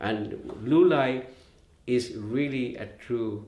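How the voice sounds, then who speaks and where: A man's somewhat breathy voice with ordinary pitch variation, in audible room echo. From Philippines, Leyte (Visayas). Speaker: musician and arranger. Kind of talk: artist talk. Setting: video call. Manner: halting.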